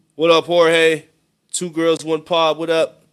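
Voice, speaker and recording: This man talks at a very slow pace with fairly even intonation. His pitch sits fairly high. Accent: American. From Boston area, US. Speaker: music reaction streamer. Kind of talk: live-stream reaction commentary. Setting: live stream. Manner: loud, projecting; casual slangy.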